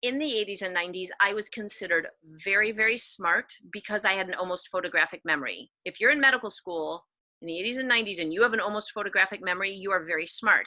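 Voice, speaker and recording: The pace is very fast, and the tone is bright and sharp. Pitch variation is ordinary. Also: woman, medium pitch for a woman. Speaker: pediatrician and education speaker. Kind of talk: workshop talk.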